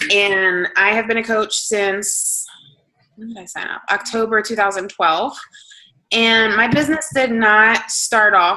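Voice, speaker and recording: With a bright, sharp tone and fairly even intonation, a woman speaks in an American accent. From New Jersey, Hamilton. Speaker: fitness coach. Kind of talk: motivational talk.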